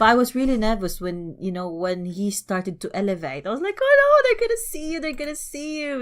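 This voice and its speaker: With a non-native accent, a woman speaks at a fairly quick pace with hardly any pauses, her high voice making very wide pitch swings. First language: not English. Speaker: podcast co-host. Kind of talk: casual chat.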